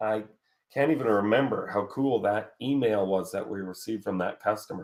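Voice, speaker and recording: A man's pitch shifts in an ordinary way as he talks at a moderate speed. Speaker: online marketing course host. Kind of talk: live webinar Q&A. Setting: live stream. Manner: casual, animated; loud.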